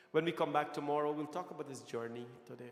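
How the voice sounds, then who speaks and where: A man's fairly high, animated voice at a very fast pace, with audible room echo and noticeable background noise. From Guyana. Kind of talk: sermon. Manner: animated, repetitive preaching style.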